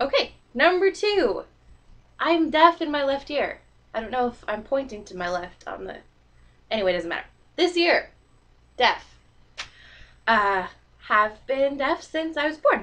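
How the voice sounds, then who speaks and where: A woman with a slight Canadian accent speaks at a high pitch. Her pitch swings very widely, with long, frequent pauses. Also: fairly slow pace, big swings in loudness. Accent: slight Canadian, noticeable in 'sorry'. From Canada, northern British Columbia, then US from age nine. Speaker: vlogger. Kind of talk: casual vlog monologue. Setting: recording to computer webcam.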